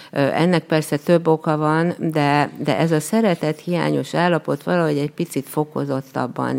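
A woman speaks at a fairly slow pace. Her pitch is very deep and low, with ordinary variation. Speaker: special education teacher and pottery instructor. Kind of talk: interview. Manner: halting.

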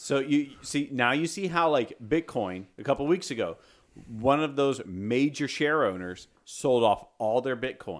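A plain, everyday voice at a fairly slow pace, in a very clean recording with a silent background. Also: man, fairly high pitch for a man, lively intonation. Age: 30s. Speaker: podcast co-host. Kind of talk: casual chat.

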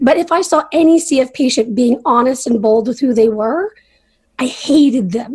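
In a Canadian accent, the voice moves at a moderate pace with ordinary pitch variation. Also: woman. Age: 30s. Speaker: patient advocate. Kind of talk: interview.

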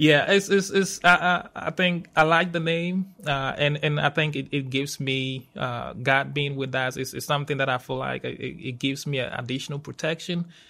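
On a very clean recording with a silent background, the bright, sharp voice moves at a moderate pace with ordinary pitch variation and hardly any pauses. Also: man, fairly high pitch for a man. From Ghana. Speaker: university safety manager. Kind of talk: podcast interview. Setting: studio. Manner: hesitant, many fillers and repetitions.

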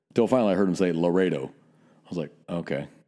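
A man speaks with a very deep, low pitch and a dark, mellow tone, using ordinary pitch variation. The recording is very clean, with a silent background. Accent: American. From Northern California. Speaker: police officer and podcast host. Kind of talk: casual chat; serious closing message.

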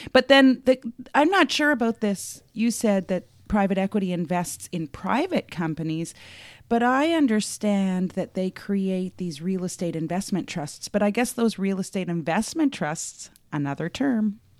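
A woman with a Canadian accent and a plain, everyday voice speaks at a medium pitch and a moderate pace with lively intonation, in a very clean recording with a silent background. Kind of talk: casual chat.

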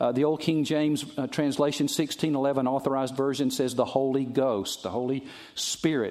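A man with a Southern US accent speaks in a fairly high voice. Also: fairly even intonation, moderate pace. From US South. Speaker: pastor. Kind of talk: sermon.

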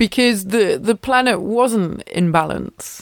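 A very slow delivery in an English accent with ordinary pitch variation, on a very clean recording with a silent background. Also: woman. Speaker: yoga teacher and podcast host. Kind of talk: casual solo chat. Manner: rambling with many fillers.

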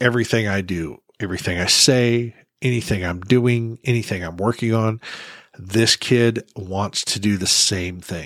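In a plain, everyday voice, a man talks at a fairly slow pace with fairly low pitch and ordinary pitch variation, on a very clean recording with a silent background. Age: 50s. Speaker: podcast host. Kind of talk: solo podcast monologue. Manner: casual, conversational.

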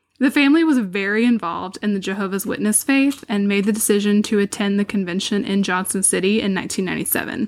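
A woman speaks at medium pitch with an ordinary speaking voice. Her pace is moderate and her pitch variation is ordinary. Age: 20s. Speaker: podcast host. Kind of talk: casual true crime narration.

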